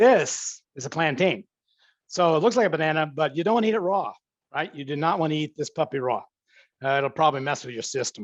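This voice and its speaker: Against a quiet background, a man talks at a very fast pace with lively intonation and a fairly high pitch. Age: 60s. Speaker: professor. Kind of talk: cooking demonstration. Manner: casual, chatty.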